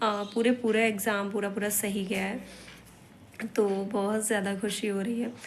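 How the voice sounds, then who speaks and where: Room echo can be heard in this recording. A woman speaks in a medium pitch. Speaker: vlogger. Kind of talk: casual vlog talk. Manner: halting.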